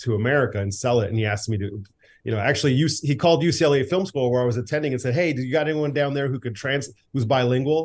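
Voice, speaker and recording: A somewhat breathy man at medium pitch, ordinary pitch variation, over a quiet background. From US. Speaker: film director and writer, former radio host. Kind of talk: casual interview chat.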